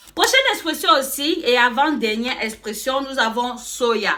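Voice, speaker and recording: Raising and projecting her high-pitched voice, a woman speaks in an animated tone at a fairly slow pace amid noticeable background noise. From Cameroon. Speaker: YouTuber. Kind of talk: casual vlog explaining slang.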